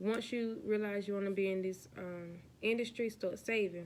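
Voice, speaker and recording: A woman with a plain, everyday voice, at medium pitch, a moderate pace and fairly even intonation. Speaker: vlogger, aspiring flight attendant. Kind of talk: casual vlog chat.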